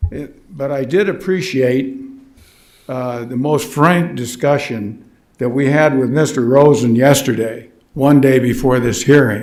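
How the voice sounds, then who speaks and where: Audible room echo surrounds a man speaking at a fairly slow pace. His pitch is medium, with ordinary variation. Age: 80s+. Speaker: resident speaking at public hearing. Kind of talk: public comment at government hearing. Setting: county board meeting room. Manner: halting, many fillers.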